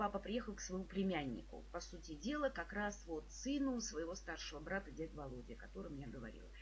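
A woman talks at a fairly quick pace with hardly any pauses. Noticeable background noise can be heard. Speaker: psychologist and trainer, video blogger. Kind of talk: personal tribute monologue. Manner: warm, emotional storytelling.

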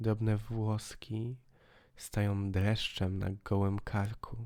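A man speaks very slowly at a fairly low pitch, in a dramatic, intense tone with monotone, flat intonation. The recording is very clean, with a silent background. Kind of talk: audiobook reading of a poetic text. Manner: dramatic, hushed, slow narration with lingering pauses; atmospheric, intense, building to a bleak, chilling end.

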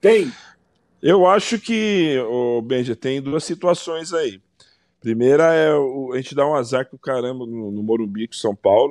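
Over a quiet background, a man talks fairly slowly in an ordinary speaking voice, his fairly high pitch moving with lively intonation. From Brazil. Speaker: football pundit. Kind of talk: casual debate. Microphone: video call.

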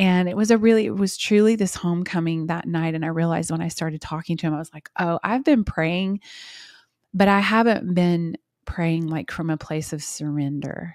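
A woman's fairly low voice at a moderate pace, ordinary pitch variation, dry sound with no echo, and a quiet background. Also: big swings in loudness. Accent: American. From Oklahoma. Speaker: worship singer-songwriter; guest. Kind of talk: casual interview chat. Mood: warm, reflective, heartfelt. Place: home room. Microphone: studio mic.

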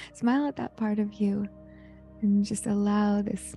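A woman speaks at a fairly slow pace over faint background music, the sound dry with no echo. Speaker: meditation guide. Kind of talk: guided meditation. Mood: calm, soothing, warm. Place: home room. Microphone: handheld.

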